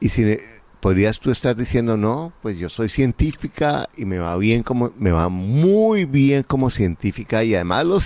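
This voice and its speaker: A man's medium-pitched, dark and mellow voice, lively in intonation, at a fairly slow pace. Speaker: real estate investment coach, interviewer. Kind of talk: interview.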